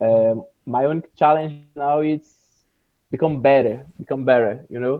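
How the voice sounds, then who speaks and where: With a Brazilian accent, a man speaks at a medium pitch and fairly even intonation, leaving long, frequent pauses. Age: 20s. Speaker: English learner, video editor and jiu-jitsu teacher. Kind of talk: casual interview. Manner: slow; halting.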